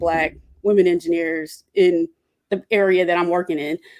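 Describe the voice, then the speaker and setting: A woman speaks with an Atlanta accent. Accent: Southern (Atlanta). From Atlanta, US South. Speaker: engineer, roundtable guest. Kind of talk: casual roundtable discussion.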